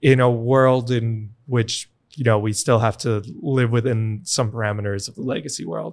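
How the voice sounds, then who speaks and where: A man's normal speaking voice with an American accent, fairly even intonation and a moderate pace. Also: medium pitch for a man. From New York, US. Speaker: bitcoin education nonprofit founder. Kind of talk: interview conversation.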